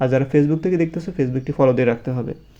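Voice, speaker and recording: Dark and mellow in tone, a man's voice sits at a fairly high pitch with ordinary pitch variation. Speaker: English teacher for school students. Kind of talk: tutorial.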